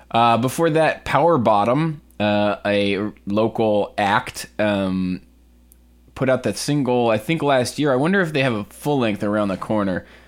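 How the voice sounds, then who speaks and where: With an American accent, a man talks in a normal speaking voice at a medium pitch, using lively intonation and a fairly slow pace. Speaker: radio host and DJ. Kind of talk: radio DJ patter introducing songs. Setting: community radio studio. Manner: casual, rambling, filler-heavy.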